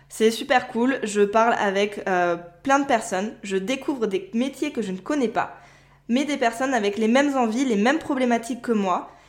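A woman's normal speaking voice, a normal speaking voice at a fairly high pitch, with ordinary pitch variation and a moderate pace. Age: 20s. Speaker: podcast host and virtual assistant. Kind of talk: solo podcast monologue.

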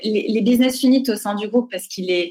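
Pitch moves in an ordinary way across an unremarkable speaking voice. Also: woman. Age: 30s. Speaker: foundation director. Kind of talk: interview.

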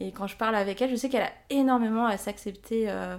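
The voice belongs to a woman. Her pitch rises and falls in an ordinary way. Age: 20s. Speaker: listener and amateur writer. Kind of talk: casual interview. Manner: hesitant, many fillers.

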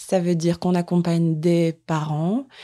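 In a very deep, low pitch, a woman talks with a dark, mellow tone and monotone, flat intonation. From northern France, Lille. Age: 20s. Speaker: charity coordinator. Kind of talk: interview.

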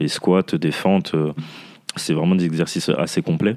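Amid noticeable background noise, a man with a very deep, low pitch speaks at a moderate pace. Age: 30s. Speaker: fitness coach. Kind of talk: casual chat.

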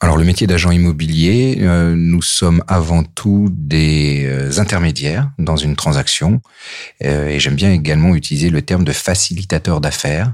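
Amid noticeable background noise, a man with a very deep, low pitch speaks at very even loudness with ordinary pitch variation. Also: moderate pace. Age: 40s. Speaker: real estate agent. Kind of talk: interview. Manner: hesitant, frequent fillers.

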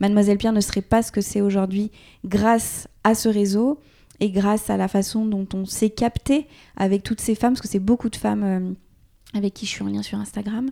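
The voice has a dark, mellow tone and monotone, flat intonation at a moderate pace. The sound is dry and close with no echo, recorded very cleanly against a silent background. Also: woman, medium pitch for a woman. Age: 30s. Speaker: entrepreneur and online influencer. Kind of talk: casual interview. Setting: host's home studio in Paris.

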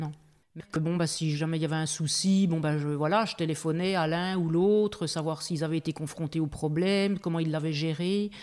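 A woman speaks in a normal speaking voice at a moderate pace, her fairly low pitch held in fairly even intonation. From eastern France (Belfort). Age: 50s. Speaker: goji berry farmer. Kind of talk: casual interview. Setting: house under renovation.

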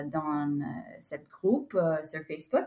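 Someone speaks with an English accent and ordinary pitch variation. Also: woman. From United States. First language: English (speaking French). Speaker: horse broker. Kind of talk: interview. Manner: halting.

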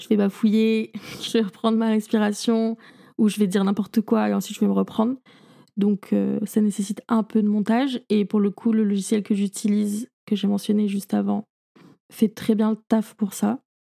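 A woman speaks at a medium pitch and a moderate pace in a flat monotone. Her tone is dark and mellow, the sound dry and close with no echo. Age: 20s. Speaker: podcast host. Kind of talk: casual solo monologue.

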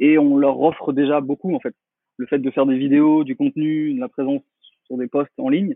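Speaking at a moderate pace, a man's fairly high voice shows ordinary pitch variation. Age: 30s. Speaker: marketing consultant. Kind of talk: interview.

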